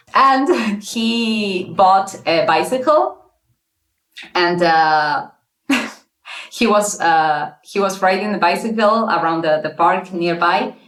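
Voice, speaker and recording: Very slow speech with lively intonation, long, frequent pauses and a non-native accent. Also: woman, medium pitch for a woman. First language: not English. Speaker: interview guest telling her dating story. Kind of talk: casual interview. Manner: halting, many fillers and restarts.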